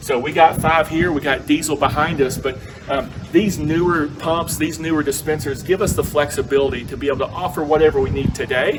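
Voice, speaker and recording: With music in the background, a man talks at a fairly quick pace in a Southern US accent, his pitch fairly high. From US South. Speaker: fuel retail executive. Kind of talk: presentation on site.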